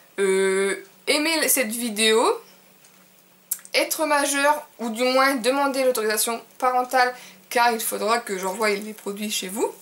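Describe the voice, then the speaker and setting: Speaking at a very slow pace with long, frequent pauses and ordinary pitch variation, the voice sits over noticeable background noise. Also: woman, high pitch for a woman. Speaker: beauty vlogger. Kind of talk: casual vlog to camera. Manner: hesitant with many fillers.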